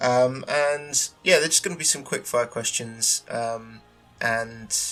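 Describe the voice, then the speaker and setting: Music plays in the background as a man with a British accent talks at a moderate pace, his medium pitch showing ordinary pitch variation. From UK. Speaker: concept artist, podcast host. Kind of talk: casual solo podcast. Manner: many filler words, hesitant. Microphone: cheap tinny mic.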